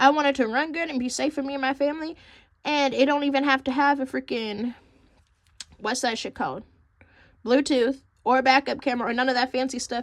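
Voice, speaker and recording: A woman talks at a high pitch in an animated tone and at a fairly quick pace. Long pauses come often. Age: 20s. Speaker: lifestyle vlogger. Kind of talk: casual chat.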